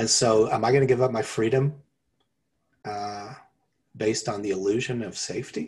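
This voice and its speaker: A man at a medium pitch speaks at a moderate pace, somewhat breathy, with fairly even intonation. He leaves long, frequent pauses on a very clean recording with a silent background. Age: 50s. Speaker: podcast co-host. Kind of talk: casual chat.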